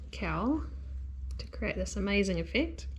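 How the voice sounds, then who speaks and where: A woman with a New Zealand accent. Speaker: knitting instructor. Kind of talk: tutorial talk to camera. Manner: casual, relaxed.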